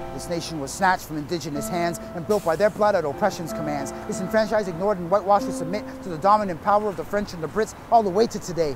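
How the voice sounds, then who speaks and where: The speech has lively intonation and a very fast pace. Noticeable background noise is present. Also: man. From Canada, Toronto. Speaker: spoken word poet. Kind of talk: spoken word performance. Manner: rhythmic.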